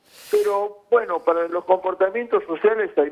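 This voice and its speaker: The man talks at a fairly slow pace. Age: 60s. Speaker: intensive care physician. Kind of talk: news interview.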